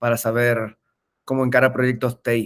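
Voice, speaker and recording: A man's voice at a medium pitch. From Argentina, Mendoza. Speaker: tech entrepreneur, webinar speaker. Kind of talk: webinar presentation. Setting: online webinar. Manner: hesitant, frequent filler eh.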